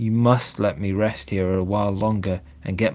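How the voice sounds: Fairly even intonation in a natural reading voice.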